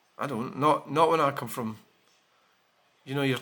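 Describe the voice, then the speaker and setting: A man with a Scottish accent speaks at a fairly quick pace in a bright, sharp tone. His pitch varies in an ordinary way. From Scotland. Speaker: vlogger. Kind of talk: casual vlog talk. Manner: halting.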